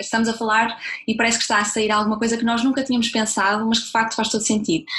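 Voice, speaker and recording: A woman speaks with a fairly high pitch. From northern Portugal, Braga. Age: 20s. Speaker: entrepreneur, communications professional. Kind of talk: interview.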